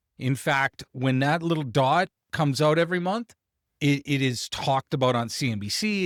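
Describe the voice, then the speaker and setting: An ordinary speaking voice from a man with a Canadian accent, fairly high in pitch with ordinary pitch variation, in a very clean, dry, close recording with no echo and a silent background. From Canada. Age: 40s. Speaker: business coach. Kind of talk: tutorial. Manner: casual with frequent fillers.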